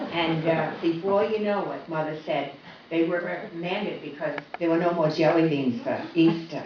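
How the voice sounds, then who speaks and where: A woman's voice over noticeable background noise. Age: 80s+. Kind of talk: personal testimony.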